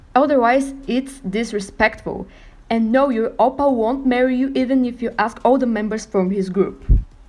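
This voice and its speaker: Someone with a non-native accent speaks at a moderate pace with fairly even intonation. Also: woman, high pitch for a woman. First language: not English. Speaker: k-pop youtuber. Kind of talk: scripted opinion monologue.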